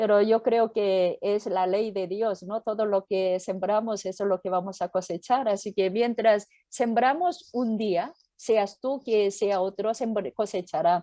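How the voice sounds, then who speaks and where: A woman with a Korean accent speaks fairly slowly at a medium pitch in a dark, mellow tone with ordinary pitch variation, with a dry, close sound with no echo and a quiet background. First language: Korean (speaking Spanish). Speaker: pastor and missionary. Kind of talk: interview. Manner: halting.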